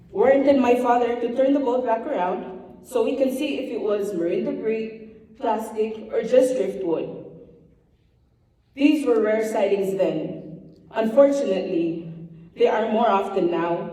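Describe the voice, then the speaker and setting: In a Palauan accent, a woman speaks at a fairly slow pace with lively intonation and a fairly high pitch, with audible room echo around her. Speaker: government official. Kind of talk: speech.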